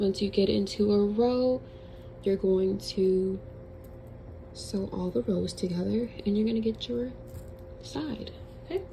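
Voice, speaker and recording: A woman speaks at a fairly slow pace with long, frequent pauses, over noticeable background noise. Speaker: crochet tutorial creator. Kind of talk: tutorial; casual chat. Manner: casual.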